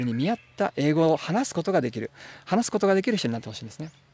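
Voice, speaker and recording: A man talks at a very fast pace with very wide pitch swings, in a dry sound with no echo. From Japan. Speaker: translator and English teacher; English tutor. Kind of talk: tutorial; tutorial talk to camera. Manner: frequent filler 'e' hesitations; polite formal. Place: forest. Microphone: phone near.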